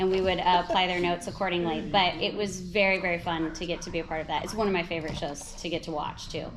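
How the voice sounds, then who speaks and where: Over noticeable background noise, a woman talks at a very fast pace with hardly any pauses, her fairly low voice in a monotone, flat intonation. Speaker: voice actor. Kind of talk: interview answer. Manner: casual, chatty.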